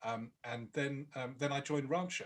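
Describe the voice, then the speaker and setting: This speaker has a British accent. The pace is moderate. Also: man. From Britain. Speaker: product marketing director. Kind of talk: webinar talk. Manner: halting, many fillers.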